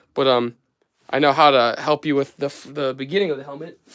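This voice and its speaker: At a moderate pace, a man with an American accent speaks at a fairly high pitch. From United States. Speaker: craft livestreamer. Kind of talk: casual livestream chat and tutorial. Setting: home workshop livestream. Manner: casual, hesitant with fillers.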